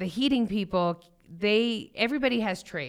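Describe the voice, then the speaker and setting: A woman with an American accent speaks at a moderate pace in an animated, energetic tone, her pitch varying in an ordinary way. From Denver, Colorado (Thornton). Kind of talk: casual interview chat.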